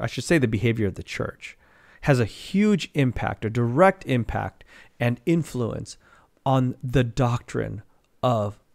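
Against a quiet background, a man speaks fairly slowly with lively intonation. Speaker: Bible teacher. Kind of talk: sermon. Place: home room. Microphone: studio mic.

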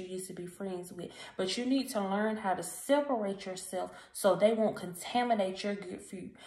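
A woman speaks with ordinary pitch variation. Her voice carries audible room echo. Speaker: encouragement vlogger. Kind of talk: casual motivational vlog talk. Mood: earnest, encouraging. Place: home room. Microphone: phone near.

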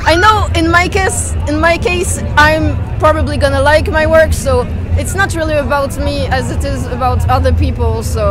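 Clear music plays behind a woman speaking at a moderate pace. Her voice sounds dry, with no echo. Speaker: interviewee. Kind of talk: interview answer. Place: street. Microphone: phone near.

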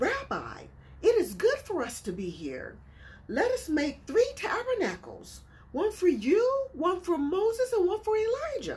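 A woman speaks at a moderate pace in a put-on character voice. Her pitch is extremely high. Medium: solo performance. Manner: bold, eager, blurting.

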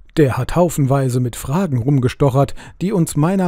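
Fairly high-pitched for a man, this speaker has a dark, mellow tone, a somewhat breathy quality and lively intonation. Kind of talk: audiobook reading of a literary short story, narrated aloud. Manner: amateur reader, not a trained speaker.

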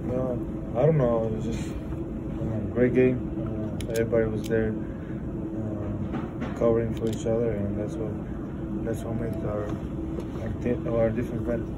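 A man speaks with long, frequent pauses. Loud background noise fills the clip. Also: moderate pace. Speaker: professional basketball player. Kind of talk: post-game press conference answers. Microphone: phone near.

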